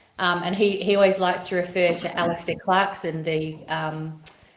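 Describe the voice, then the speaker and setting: Audible room echo surrounds a woman speaking with an Australian accent. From Western Australia, Perth eastern suburbs. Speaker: educator and operations director. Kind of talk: podcast interview. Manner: halting, many fillers.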